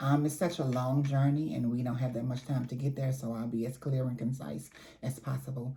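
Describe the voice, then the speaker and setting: Speaking at a fairly quick pace, a woman has a very deep, low pitch, a dark, mellow tone, a somewhat breathy quality and fairly even intonation. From New Orleans, Louisiana. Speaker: community advocate and trainer. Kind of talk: interview.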